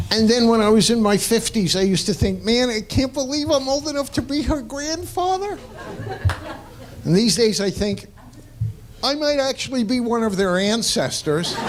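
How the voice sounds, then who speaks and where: Lively intonation at a moderate pace, with noticeable background noise. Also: man, extremely high pitch for a man. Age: 60s. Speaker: stand-up comedian. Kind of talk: stand-up. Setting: stage with audience.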